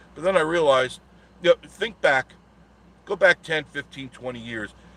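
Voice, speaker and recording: Speaking at a moderate pace in a New York accent, a man with a fairly high pitch uses very wide pitch swings. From Long Island, New York. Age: 60s. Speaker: travel vlogger. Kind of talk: casual live stream monologue.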